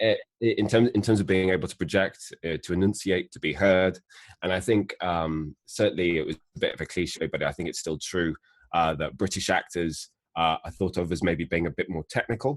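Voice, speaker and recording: Against a quiet background, a man with a very deep, low voice talks at a fairly quick pace. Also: ordinary pitch variation, dry, close sound with no echo. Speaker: actor and voice actor. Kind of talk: interview.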